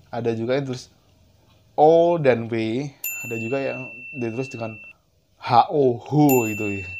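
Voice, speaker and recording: A man talks at a medium pitch and a fairly slow pace, with ordinary pitch variation and long, frequent pauses. His loudness swings widely, and there is noticeable background noise. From Central Java, Indonesia. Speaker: YouTuber. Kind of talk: casual vlog talk to camera. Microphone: lapel.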